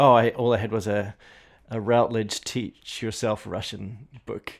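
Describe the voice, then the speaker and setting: In a very clean recording with a silent background, a man with a New Zealand accent speaks at a fairly slow pace and medium pitch, his intonation flat and monotone. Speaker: language teacher. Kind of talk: casual chat.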